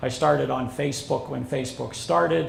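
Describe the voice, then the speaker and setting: Audible echo from the room surrounds a man's voice. Background noise can be clearly heard. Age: 60s. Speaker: social media consultant and instructor. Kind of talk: seminar presentation. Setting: seminar with live audience.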